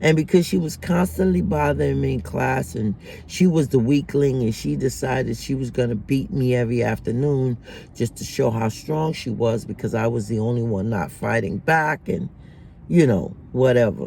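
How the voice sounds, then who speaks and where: A man at medium pitch in a dark, mellow, somewhat breathy tone, with very wide pitch swings and a moderate pace. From Jamaica. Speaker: vlogger. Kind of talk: personal storytelling monologue. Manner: casual, conversational.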